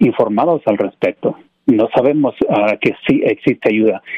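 A man's voice is heard. The pace is fairly slow. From Mexico. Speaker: IT business owner. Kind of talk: radio interview. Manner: halting.

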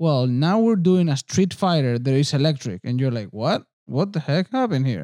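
This man's voice has a dark, mellow tone at a fairly high pitch, swings very widely in pitch, carries a non-native accent, and sounds dry and close with no echo. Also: moderate pace. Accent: foreign-accented English. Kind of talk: casual chat.

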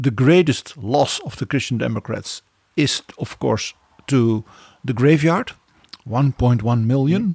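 A somewhat breathy man at medium pitch with a Dutch accent, ordinary pitch variation, a very slow pace and long, frequent pauses, in a dry, close sound with no echo. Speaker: podcast co-host, historian. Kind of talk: interview.

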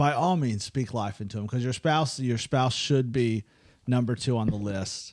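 With an American accent, a man speaks at a moderate pace and medium pitch with ordinary pitch variation, an unremarkable speaking voice on a very clean recording with a silent background. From US South. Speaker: podcast host. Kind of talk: casual chat.

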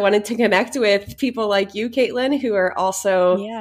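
In an American accent, a woman talks at a moderate pace, her medium pitch showing ordinary variation. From US Midwest, St. Louis area. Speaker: motivational speaker and entrepreneur. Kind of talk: interview conversation.

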